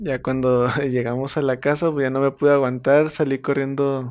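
A man with a normal speaking voice talks at medium pitch and a fairly slow pace. His intonation stays fairly even. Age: 20s. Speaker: guest sharing paranormal experiences. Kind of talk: personal story telling.

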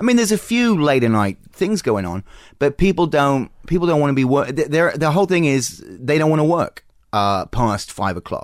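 Talking at a moderate pace, a man uses a fairly high pitch that swings very widely. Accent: Australian. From Australia. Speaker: comedian. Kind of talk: casual chat. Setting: home garage studio.

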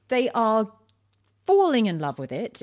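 A woman in a London accent on a very clean recording with a silent background. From East London, England. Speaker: wine writer and TV presenter. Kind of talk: casual interview.

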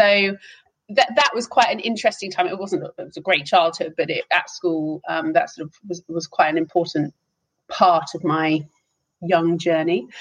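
A woman with a southern English accent, fairly low in pitch, at a moderate pace, with ordinary pitch variation and big swings in loudness. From England, Hertfordshire. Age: 30s. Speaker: business executive. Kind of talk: interview.

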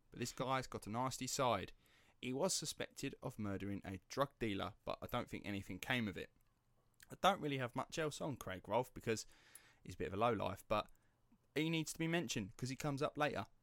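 Medium-pitched male voice in a Cockney accent, lively in intonation at a fairly quick pace, dry and close with no echo. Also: very clean recording, silent background. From East London. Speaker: podcast host. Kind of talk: true crime storytelling. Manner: conversational, casual.

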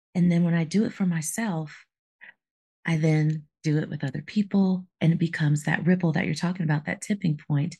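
A woman talks at a fairly quick pace in a dark, mellow tone, somewhat breathy and fairly low in pitch, with fairly even intonation. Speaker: podcast co-host, life coach. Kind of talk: casual chat.

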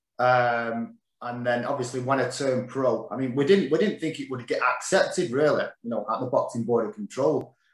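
Moderately paced speech in a Mancunian accent, with ordinary pitch variation and hardly any pauses. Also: man, medium pitch for a man. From Manchester, northern England. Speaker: former professional boxer. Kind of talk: casual interview chat.

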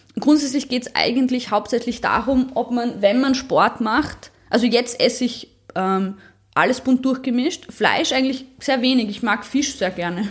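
A woman with a high pitch talks at a moderate pace and shows ordinary pitch variation. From Austria, Graz. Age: 30s. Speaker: powerlifter. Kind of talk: interview.

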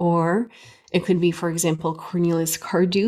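In a Canadian accent, a woman speaks at a fairly low pitch in a plain, everyday voice. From Canada. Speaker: music professor. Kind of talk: interview.

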